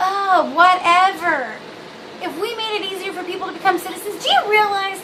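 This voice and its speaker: A woman with an American accent uses a raised, projected voice and a bubbly tone. She keeps a moderate pace, and audible room echo surrounds her. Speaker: video blogger. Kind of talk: casual vlog monologue. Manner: rambling, many fillers.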